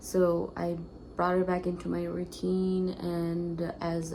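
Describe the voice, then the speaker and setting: Set in audible room echo, a woman's fairly low voice carries a dark, mellow tone and flat, monotone intonation. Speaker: lifestyle vlogger. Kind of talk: casual vlog talk to camera. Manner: hesitant, many fillers; whispering.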